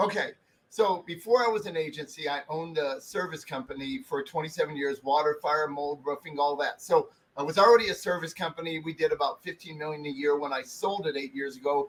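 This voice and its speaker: At a fairly quick pace, a man talks in an animated tone at a fairly high pitch with ordinary pitch variation. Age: 60s. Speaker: digital marketing agency owner. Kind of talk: interview.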